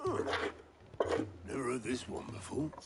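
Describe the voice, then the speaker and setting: A man puts on a raspy character voice at medium pitch and a moderate pace. Loud background noise fills the recording. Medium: video game. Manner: dry, wry.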